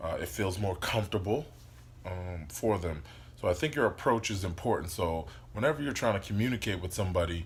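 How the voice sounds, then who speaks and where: Very deep and low, a man's voice moves with lively intonation. He keeps a fairly quick pace. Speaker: life coach vlogger. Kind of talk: casual motivational monologue. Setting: indoors, sitting on the floor by a window. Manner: loud; hesitant, many fillers.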